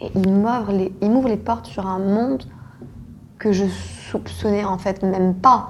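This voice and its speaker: A woman at a fairly slow pace, medium pitch and fairly even intonation, over noticeable background noise. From Senegal. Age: 20s. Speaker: art gallery founder. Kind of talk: interview. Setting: office.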